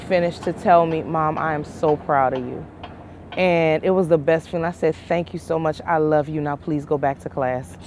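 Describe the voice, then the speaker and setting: Speaking at a moderate pace, a woman comes through against noticeable background noise. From Louisiana (Lafayette) and DC area. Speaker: small business owner, driver. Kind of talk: interview.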